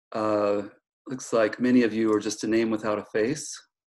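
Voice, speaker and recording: A man talks at a fairly slow pace, with only a quiet background behind him. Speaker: guest professor. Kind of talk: casual lecture intro. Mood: joking, friendly. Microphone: video call.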